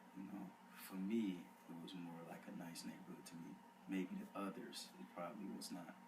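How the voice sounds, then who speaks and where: A man talks at a moderate speed while room echo is audible and background noise is noticeable. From Detroit, Michigan. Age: 18. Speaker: college student. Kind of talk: interview. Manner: hesitant, many uh.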